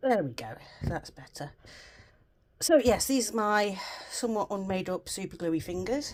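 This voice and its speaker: A woman speaks at a moderate pace with long, frequent pauses. Her pitch swings very widely, and her loudness rises and falls in big swings. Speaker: crafts vlogger. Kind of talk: casual chat. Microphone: new round the neck mic, occasional rumble.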